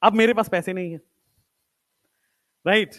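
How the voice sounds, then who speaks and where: This man speaks with ordinary pitch variation. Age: 20s. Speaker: teacher. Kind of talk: motivational talk to students in a lecture. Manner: casual, Hindi-English code-mixing.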